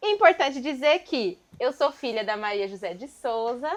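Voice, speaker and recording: Against a quiet background, a woman with an ordinary speaking voice talks at a fairly slow pace with lively intonation. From São Paulo East Zone periphery. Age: 30s. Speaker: dance group member and show host. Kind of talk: casual talk show chat.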